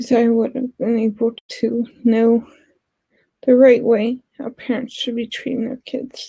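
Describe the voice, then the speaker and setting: A woman speaks at a fairly slow pace in a high pitch, her dark, mellow tone held in a monotone, flat intonation. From West Virginia. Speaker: vlogger. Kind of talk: personal vlog. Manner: halting.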